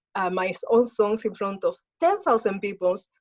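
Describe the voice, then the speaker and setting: A woman with a Spanish accent talks in a fairly high pitch. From Spain. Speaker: spiritual healer and martial artist. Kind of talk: interview.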